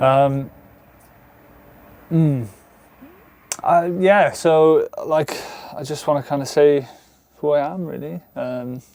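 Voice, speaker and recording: The speaker has a Welsh accent and ordinary pitch variation. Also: man. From South Wales, near Bridgend. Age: 30s. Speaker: vanlife vlogger. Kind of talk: casual vlog monologue. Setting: alone talking to camera. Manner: halting, many fillers; animated.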